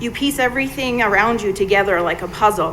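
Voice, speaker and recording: A woman with a fairly high voice speaks at a moderate speed, her pitch varying in an ordinary way, while noticeable background noise sits underneath. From foreign country. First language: not English. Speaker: parent at public comment. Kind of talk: public comment speech. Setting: school board meeting.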